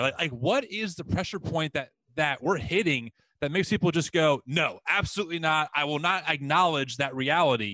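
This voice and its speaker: A man with a normal speaking voice and fairly high pitch talks at a moderate pace with lively intonation, in a dry, close sound with no echo. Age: 30s. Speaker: podcast host. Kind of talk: interview.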